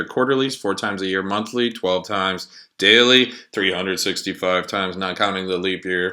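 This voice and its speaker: A robotic, put-on character voice at a moderate pace, on a very clean recording with a silent background. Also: man, very deep, low pitch for a man. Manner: robotic monotone.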